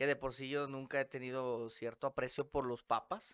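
Heard dry and close with no echo, a plain, everyday voice keeps a fairly even intonation. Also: man. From Monterrey, northern Mexico. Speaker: podcast guest. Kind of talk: casual chat.

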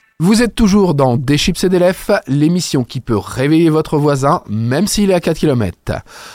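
Using a plain, everyday voice, a man with a fairly high pitch talks at a fairly slow pace with lively intonation, the sound dry and close with no echo. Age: 30s. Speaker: radio host. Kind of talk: interview; radio music show.

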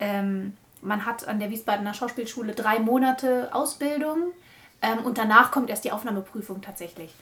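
At a moderate pace, a woman with a fairly high pitch and ordinary pitch variation speaks with big swings in loudness. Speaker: podcast host. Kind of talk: casual chat. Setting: recorded in a bedroom.

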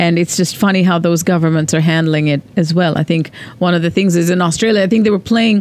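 The speech runs at a very fast pace with hardly any pauses and very even loudness. Pitch varies in an ordinary way over noticeable background noise. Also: woman, fairly low pitch for a woman. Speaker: podcast co-host. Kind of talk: casual podcast chat.

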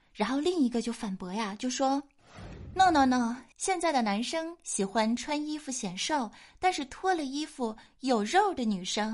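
Her voice is high-pitched, and her lively intonation comes with big swings in loudness as this woman speaks at a moderate pace. The background is quiet. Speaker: podcast host. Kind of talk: comedic casual chat show. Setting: studio. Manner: animated.

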